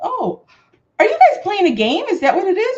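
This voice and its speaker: Very wide pitch swings from a woman with an American accent. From Chicago, US Midwest. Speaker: craft livestream host. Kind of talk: casual chat.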